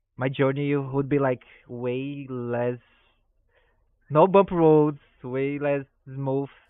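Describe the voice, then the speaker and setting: A man with a non-native accent, very slow and fairly high-pitched, his intonation fairly even, with long, frequent pauses. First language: not English. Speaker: stream host. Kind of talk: interview. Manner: halting, with fillers.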